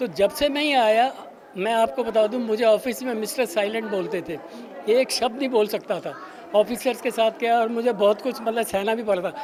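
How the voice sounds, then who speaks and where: With crowd noise behind him, a man speaks at a moderate pace in a high voice with ordinary pitch variation. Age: 80s+. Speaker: retired senior club member. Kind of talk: interview.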